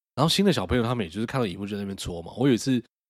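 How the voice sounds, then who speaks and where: A man's fairly low voice races along at a very fast pace, its pitch moving in an ordinary way. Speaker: podcast co-host. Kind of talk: casual chat. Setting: motel room.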